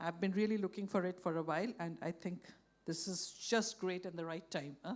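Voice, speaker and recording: At a fairly quick pace, a woman talks at a medium pitch with fairly even intonation. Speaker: session moderator. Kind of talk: moderating a panel session. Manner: loud.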